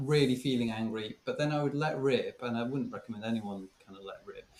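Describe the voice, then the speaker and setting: A man speaks with a British accent at a medium pitch. His pitch varies in an ordinary way. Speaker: former teacher. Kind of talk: casual chat. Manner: halting.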